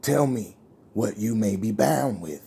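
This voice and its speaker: Putting on a raspy character voice, a man with a fairly low pitch speaks at a fairly slow pace with very wide pitch swings. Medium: solo performance. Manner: wheedling, accusing.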